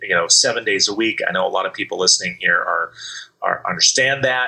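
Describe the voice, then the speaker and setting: Noticeable background noise sits behind this man. He speaks with an American accent at a fairly quick pace. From US Mountain West and Midwest (Wyoming, Iowa). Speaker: real estate broker and business consultant. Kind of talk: interview.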